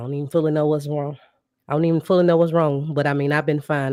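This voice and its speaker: A woman with a very deep, low pitch and a dark, mellow tone speaks at a very fast pace. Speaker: podcast host. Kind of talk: casual podcast monologue. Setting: live stream. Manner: casual, conversational with fillers.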